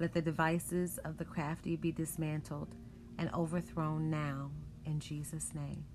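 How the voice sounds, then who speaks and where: Woman at a fairly slow pace with music in the background. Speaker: prayer broadcast host. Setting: online worship broadcast. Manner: forceful, authoritative, emphatic; fervent, rhythmic, declarative.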